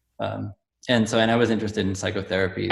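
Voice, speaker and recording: A man talks at a very fast clip with vocal fry and a flat, monotone delivery. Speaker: musician. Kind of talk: casual chat. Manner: halting, many fillers.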